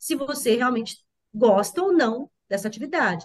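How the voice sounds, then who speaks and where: A woman is speaking. Her pitch swings very widely. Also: quiet background. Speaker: mother and former school principal; podcast guest. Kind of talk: interview. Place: home room. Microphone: video call.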